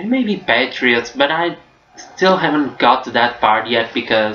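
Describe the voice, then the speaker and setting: Against noticeable background noise, a man with a Portuguese accent speaks at a very slow pace. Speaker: book vlogger. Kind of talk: casual vlog review. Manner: hesitant, with fillers.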